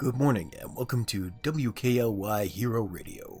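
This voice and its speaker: Someone uses a put-on character voice at a moderate pace, with clear background noise behind it. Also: man, medium pitch for a man. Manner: upbeat morning broadcast.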